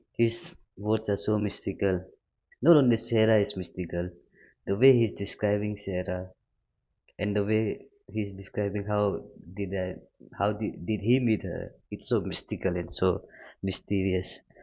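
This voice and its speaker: With a non-native accent, a man talks at a fairly low pitch, his intonation fairly even and broken by long, frequent pauses. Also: moderate pace. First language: not English. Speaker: music reaction youtuber. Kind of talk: casual reaction commentary.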